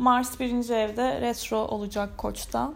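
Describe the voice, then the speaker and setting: At a very slow pace, a woman speaks in a high voice. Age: 30s. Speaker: astrology podcaster. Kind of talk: solo podcast monologue. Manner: casual, hesitant with fillers.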